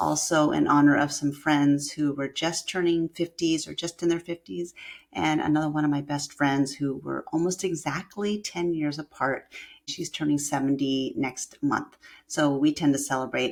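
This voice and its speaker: A woman with an American accent speaks in a very deep, low pitch at a moderate pace, her intonation fairly even. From US Pacific Northwest (Washington State). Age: 60s. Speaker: yoga teacher and podcast host. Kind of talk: casual podcast monologue.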